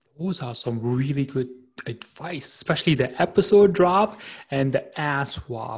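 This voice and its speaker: Speaking at a fairly slow pace, a man sounds enthusiastic and somewhat breathy. His voice is fairly high, with lively intonation. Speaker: podcast host and platform founder. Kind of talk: interview. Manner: enthusiastic, laughs often.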